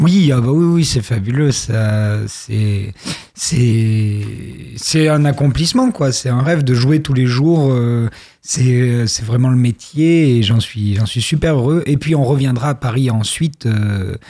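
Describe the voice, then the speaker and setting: The voice has a dark, mellow tone and a somewhat breathy quality. It moves at a very slow pace with ordinary pitch variation. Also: man, medium pitch for a man. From southwest France, Périgord noir (Dordogne). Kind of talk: radio interview.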